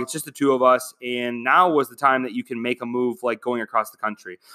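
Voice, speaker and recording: A plain, everyday voice moves at a fairly quick pace. The recording is very clean with a silent background and a dry, close sound with no echo. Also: man. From Michigan. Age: 20s. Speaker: podcaster. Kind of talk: casual monologue.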